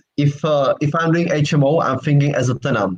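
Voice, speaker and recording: Somewhat breathy and fairly high in pitch, a man talks at a fairly quick pace with fairly even intonation. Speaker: property sourcing agent. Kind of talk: casual chat. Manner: halting.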